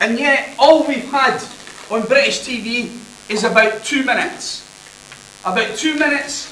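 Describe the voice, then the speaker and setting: With a Scottish accent, a man projects a raised voice at an extremely high pitch, his intonation fairly even and his pace moderate, over noticeable background noise and audible room echo. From Scotland. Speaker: university lecturer. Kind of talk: conference presentation. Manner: loud.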